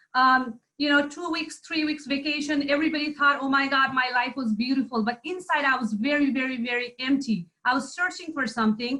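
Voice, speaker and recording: With a Nepali accent, a woman speaks at a high pitch with ordinary pitch variation and hardly any pauses. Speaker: entrepreneur, former IT director. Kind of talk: testimony.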